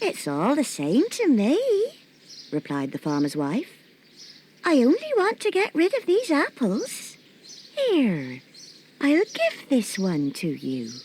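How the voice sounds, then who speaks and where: This is a woman using a put-on character voice. She speaks at a fairly slow pace. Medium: read story. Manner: scheming, falsely friendly.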